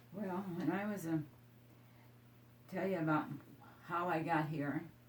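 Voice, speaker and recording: An American accent with fairly even intonation at a fairly slow pace, amid audible room echo. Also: woman. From Iowa, US Midwest. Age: 80s+. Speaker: elderly local resident. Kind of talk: oral history interview. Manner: halting, with false starts.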